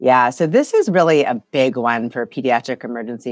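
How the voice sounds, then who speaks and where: Over a quiet background, a woman speaks at a moderate pace with a very deep, low pitch. The sound is dry and close, with no echo. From Ohio, US Midwest. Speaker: pediatric emergency physician. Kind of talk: interview.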